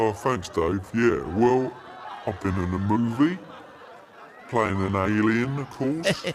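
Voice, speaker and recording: Using a put-on character voice at medium pitch, a man speaks at a fairly slow pace with long, frequent pauses over clear background noise. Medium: audio drama. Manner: sardonic.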